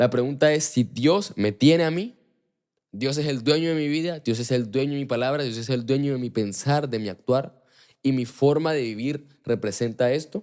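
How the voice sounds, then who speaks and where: A man talks in an animated tone at a medium pitch, with ordinary pitch variation. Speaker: podcast host. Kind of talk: religious talk. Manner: fast.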